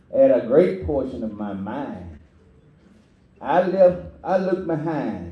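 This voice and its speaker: The voice has vocal fry and very wide pitch swings. It moves at a very slow pace with long, frequent pauses. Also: man, fairly high pitch for a man. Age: 80s+. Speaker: community elder speaker. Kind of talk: speech to audience. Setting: church.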